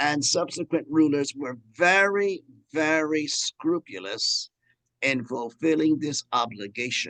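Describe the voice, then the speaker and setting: Using lively intonation at a very slow pace, a man with an American accent is heard in a dry, close sound with no echo. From New York, Cuban family. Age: 70s. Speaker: priest and historian. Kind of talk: lecture. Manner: halting, many false starts.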